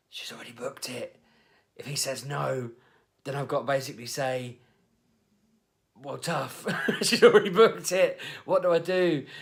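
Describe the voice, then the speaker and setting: A man's put-on character voice, whispering and raspy, anxious in tone, at a moderate pace with long, frequent pauses and big swings in loudness. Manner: whispering, anxious.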